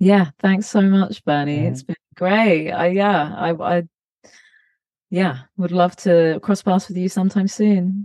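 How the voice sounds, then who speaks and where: In an English accent, this dark, mellow voice moves at a fairly slow pace with ordinary pitch variation, recorded with a dry, close sound and no echo. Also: woman, medium pitch for a woman. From UK. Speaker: touring bass player. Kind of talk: interview. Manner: halting.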